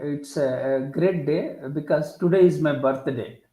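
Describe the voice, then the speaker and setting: With audible room echo around them, the speaker talks at a fairly slow pace and shows ordinary pitch variation. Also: man. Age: 60s. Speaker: professor and author. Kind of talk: interview, self-introduction. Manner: halting, many fillers.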